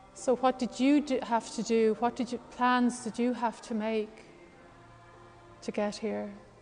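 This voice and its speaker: A woman's monotone, flat intonation with long, frequent pauses, music in the background. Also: fairly slow pace. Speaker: yoga and meditation teacher. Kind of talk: guided meditation in a live class. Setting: live class in a room. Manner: calm, slow, soothing.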